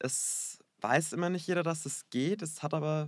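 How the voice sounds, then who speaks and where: A man speaks fairly slowly on a very clean recording with a silent background. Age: 20s. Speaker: hairdresser. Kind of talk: interview. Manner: hesitant, many fillers.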